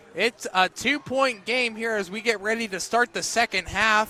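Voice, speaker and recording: Pitched high, a man projects a raised voice at a moderate pace. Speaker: radio play-by-play announcer. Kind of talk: live sports radio play-by-play.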